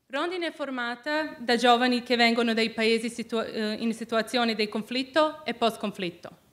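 With a non-native accent, a woman speaks at a high pitch and a moderate pace. Her pitch moves in an ordinary way. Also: hardly any pauses. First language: not Italian (speaking Italian). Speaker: student peace activist; speaker. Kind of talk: prepared speech. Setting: stage with audience. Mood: earnest, solemn. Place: hall. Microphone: podium.

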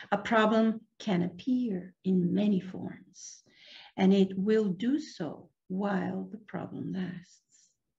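A woman speaks at a very slow pace in a somewhat breathy voice with a dark, mellow tone and ordinary pitch variation, against a quiet background. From Venezuela. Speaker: meditation teacher. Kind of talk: guided meditation. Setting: video call. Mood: calm, gentle. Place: home room. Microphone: video call.

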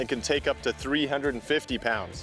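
A man's voice in a dry sound with no echo, faint music in the background. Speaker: presenter. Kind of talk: product walkthrough. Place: open country.

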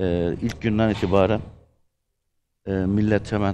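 Over light background noise, a man with a Gaziantep accent talks at a moderate pace in a fairly low pitch, his tone dark and mellow and his intonation fairly even. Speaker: actor. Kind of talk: casual chat. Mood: earnest, serious topic. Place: studio.

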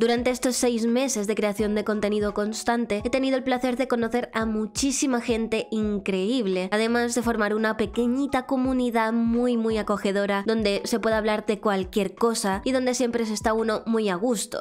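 A woman with a fairly high pitch talks in a monotone, flat way at very even loudness with hardly any pauses, with music in the background. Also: moderate pace. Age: 20s. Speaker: streamer and voice acting student. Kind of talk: casual self-presentation to camera. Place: home room. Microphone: studio mic.

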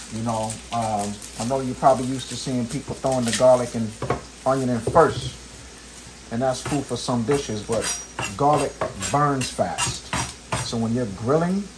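Over noticeable background noise, a man speaks at a moderate pace with ordinary pitch variation and long, frequent pauses. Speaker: home cook host. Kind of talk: casual cooking tutorial. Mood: relaxed, playful. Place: kitchen.

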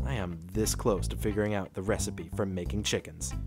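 Over music in the background, a man talks at a fairly quick pace in a very deep, low pitch with very wide pitch swings. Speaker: voice actor. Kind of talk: casual talk to camera.

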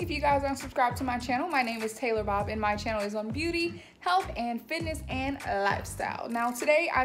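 A woman talks at a fairly quick pace in a high pitch. Clear music plays in the background. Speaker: lifestyle vlogger. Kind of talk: casual vlog chat. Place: home room. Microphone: phone near.

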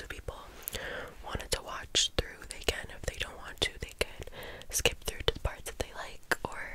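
A soft-spoken woman whispers at a moderate pace, with big swings in loudness. The sound is dry with no echo, over light background noise. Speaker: beauty vlogger. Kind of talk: casual makeup tutorial chat. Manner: soft close-mic ASMR whisper. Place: home room. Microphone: studio mic.

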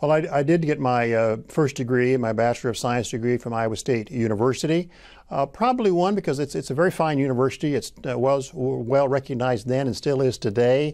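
Against a quiet background, a man with a Midwestern US accent talks with hardly any pauses and ordinary pitch variation. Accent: US Midwest. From Illinois. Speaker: agricultural economics professor. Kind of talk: oral history interview. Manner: halting. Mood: warm, reflective, occasional smiles. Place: studio. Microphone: lapel.

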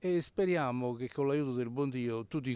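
The pace is moderate. The recording is very clean with a silent background. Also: man. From Ischia, Italy. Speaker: charity volunteer. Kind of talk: interview. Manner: hesitant, many fillers.

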